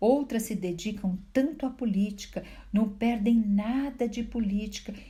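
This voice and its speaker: A soft-spoken, somewhat breathy woman's voice with a dark, mellow tone, ordinary pitch variation and a very slow pace. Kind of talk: Bible reflection talk to viewers.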